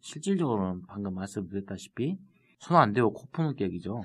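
A man with a slight Jeolla accent talks at a moderate pace in a fairly low voice with lively intonation. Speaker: city councillor. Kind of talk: casual chat.

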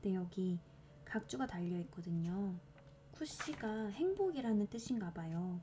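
A fairly slow delivery with lively intonation, set against noticeable background noise. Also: woman, medium pitch for a woman. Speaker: podcast host reading poetry. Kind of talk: casual chat; reading poetry aloud.

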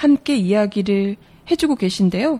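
At a very slow pace, a woman speaks with lively intonation at medium pitch. The sound is dry and close, with no echo. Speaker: announcer. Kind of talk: radio-style lecture hosting.

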